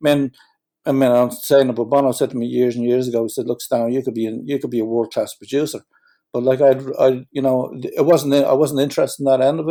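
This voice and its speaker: A man with a Dublin accent, a dark, mellow tone and medium pitch, talking very fast in a flat monotone, recorded dry and close with no echo. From Ireland, Dublin. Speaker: musician. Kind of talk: interview.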